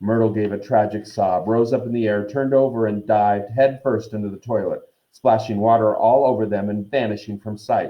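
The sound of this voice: Against a quiet background, someone reads in an unforced voice.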